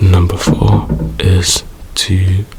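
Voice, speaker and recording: A soft-spoken man talks in a relaxed, calm tone at a very deep, low pitch. His intonation is fairly even, with noticeable background noise behind him. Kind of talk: ASMR soft spoken comfort talk to camera. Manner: soft-spoken, relaxed, calm.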